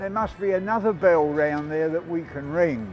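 A man speaks at a moderate tempo while music plays faintly behind him. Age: 70s. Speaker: homelessness campaigner, ex-homeless reformed drug addict. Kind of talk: casual talk to camera. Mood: surprised, mildly frustrated. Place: street.

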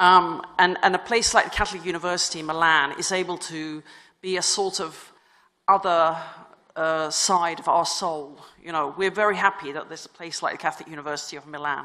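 With a normal speaking voice, a woman talks at a fairly quick pace in a fairly low pitch, her intonation fairly even but her loudness swinging widely. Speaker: religious sister and university vice rector. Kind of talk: conference talk.

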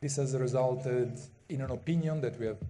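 A man speaks at a moderate pace in a dark, mellow, somewhat breathy tone, his intonation fairly even over light background noise. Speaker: conference presenter. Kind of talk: conference talk. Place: hall. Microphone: podium.

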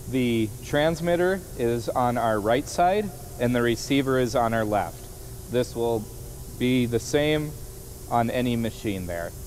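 A man talks fairly slowly, with ordinary pitch variation, as light background noise runs beneath. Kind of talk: tutorial. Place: workshop.

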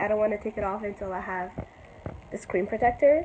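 Clear background noise sits behind a woman as she talks. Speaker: vlogger. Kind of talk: casual vlog talk to camera. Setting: in a mall; in a car. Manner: animated.

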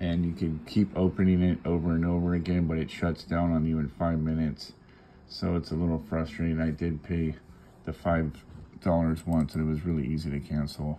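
Fairly quick speech over light background noise. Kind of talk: tutorial. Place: home room. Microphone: phone near.

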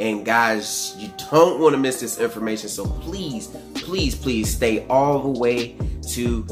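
Clear music is heard behind a man's voice. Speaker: hair care vlogger. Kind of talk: casual vlog chat. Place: home room.

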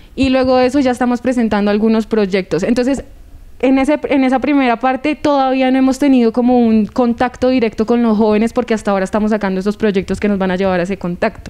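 At a very fast pace, a woman speaks in a dark, mellow tone at a fairly high pitch, with ordinary pitch variation and very even loudness. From Colombia. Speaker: youth council member. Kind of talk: TV interview. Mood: hopeful, happy. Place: studio. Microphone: handheld.

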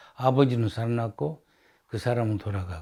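In a very clean recording with a silent background, a man talks at a moderate pace and medium pitch, somewhat breathy. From Sakhalin, Russia. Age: 80s+. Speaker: oral history narrator, Sakhalin Korean. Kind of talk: oral history interview. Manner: halting.

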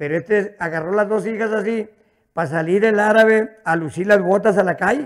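Against a quiet background, a man with a northern Mexican accent speaks in an animated, playful tone with ordinary pitch variation. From northern Mexico. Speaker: stand-up comedian. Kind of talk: stand-up comedy, rural joke-telling with an audience. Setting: stage with audience. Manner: animated, rapid-fire storyteller who acts out dialogue with 'dijo' repetition; colloquial, with stutters and repeated words, coarse and playful. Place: studio. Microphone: handheld.

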